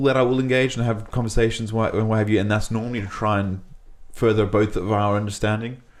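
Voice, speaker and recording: Through audible room echo and noticeable background noise, a man talks at a very fast pace. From South Africa. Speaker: podcast host. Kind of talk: casual chat.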